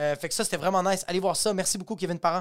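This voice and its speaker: A man talks in an animated tone. His pitch sits high for a man. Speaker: stand-up comedian and podcast host. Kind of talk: casual solo podcast monologue. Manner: animated, fast, with frequent repetitions and fillers.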